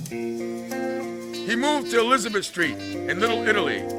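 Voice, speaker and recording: A man's fairly slow pace of speech plays out with music in the background. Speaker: spoken word poet and performer. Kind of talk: spoken word storytelling, poetry performance. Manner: rhythmic, expressive storytelling.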